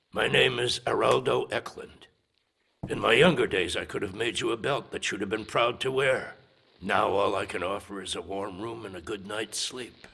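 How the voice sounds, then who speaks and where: A man puts on a cartoonish character voice at a medium pitch, keeping a moderate pace. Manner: gruff, dry.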